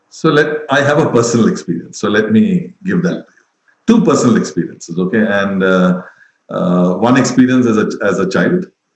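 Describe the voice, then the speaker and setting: With an Indian accent, a man talks at a moderate pace in a medium pitch that makes very wide swings. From India, Mumbai. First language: Tamil. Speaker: education expert. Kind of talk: webinar talk.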